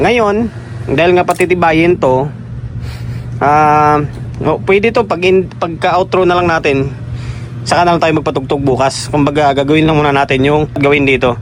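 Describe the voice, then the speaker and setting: Over noticeable background noise, a man with a fairly high voice speaks at a moderate pace, his loudness very even and his pitch varying in an ordinary way. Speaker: electronics repair vlogger. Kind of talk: tutorial. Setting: workshop at night. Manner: soft-spoken. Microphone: no mic.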